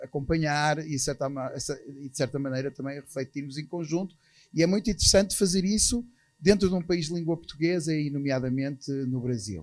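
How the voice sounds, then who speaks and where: This man talks at a fairly quick pace in a fairly high pitch, with ordinary pitch variation and big swings in loudness. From Portugal. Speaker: architects' association president. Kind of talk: conference talk. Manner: hesitant, with fillers.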